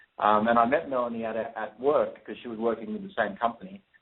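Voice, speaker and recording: Speaking at a fairly quick pace with an Australian accent, a man keeps a medium pitch and ordinary pitch variation. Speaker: real estate investor. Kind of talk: radio interview.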